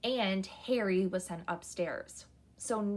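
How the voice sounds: This is a natural reading voice. Its pitch varies in an ordinary way.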